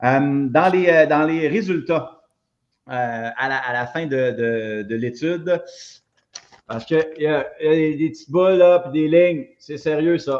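Taking long, frequent pauses, a man with a fairly high pitch talks fairly slowly, with ordinary pitch variation and big swings in loudness. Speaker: gym owner and fitness coach. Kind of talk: casual chat. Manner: halting.

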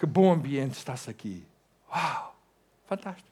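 Vocal fry colors a man's fairly high pitch. His tone is animated, with lively intonation. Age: 60s. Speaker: pastor. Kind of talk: sermon.

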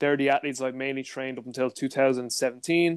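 A man with a Dublin accent talks at a fairly high pitch over a quiet background. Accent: Dublin Irish. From Ireland, Dublin. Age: 30s. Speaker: strength and conditioning coach. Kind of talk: casual chat. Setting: video call.

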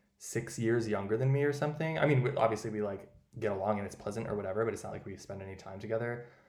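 A man with an American accent and a medium pitch speaks at a very fast pace, with ordinary pitch variation and big swings in loudness. Audible room echo surrounds his voice. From US Midwest. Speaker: podcast host. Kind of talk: casual chat.

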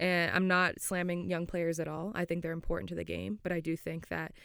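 A woman with an American accent, on a very clean recording with a silent background. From Florida, US. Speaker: professional footballer and podcast co-host. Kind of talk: casual chat. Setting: studio.

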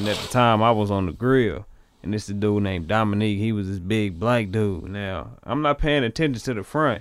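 This man has an ordinary speaking voice and an American accent. He talks at a fairly quick pace with fairly low pitch and ordinary pitch variation. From US inner city. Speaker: musician, actor and model. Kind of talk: casual chat. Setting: studio.

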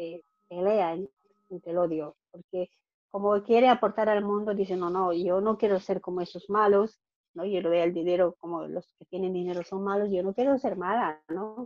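In a dry, close recording with no echo and a quiet background, a woman uses a normal speaking voice at medium pitch with ordinary pitch variation. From Bolivia. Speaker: financial coach. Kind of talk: interview. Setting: call.

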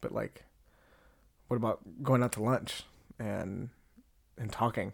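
With vocal fry at a medium pitch, a man speaks at a fairly slow pace. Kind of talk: casual monologue.

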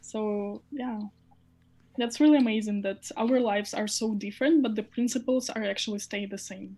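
A woman with a fairly high, somewhat breathy voice speaks at a moderate pace, her intonation fairly even and her loudness swinging widely. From Ukraine. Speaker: head of social media at a crypto hardware company. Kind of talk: interview.

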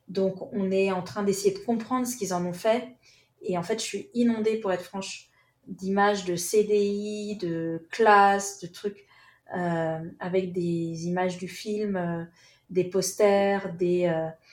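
The woman's intonation stays fairly even as she talks at a very slow pace. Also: medium pitch for a woman. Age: 40s. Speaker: author and documentary filmmaker. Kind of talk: interview.

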